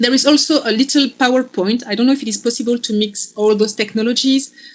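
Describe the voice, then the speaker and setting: A woman speaks with a French accent. There is noticeable background noise. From Belgium. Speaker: philosophy lecturer. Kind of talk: lecture. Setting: video call. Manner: slow.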